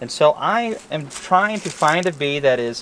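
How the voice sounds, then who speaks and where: A man is speaking. The sound is dry with no echo, over light background noise. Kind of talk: tutorial. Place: garden. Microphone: camera far.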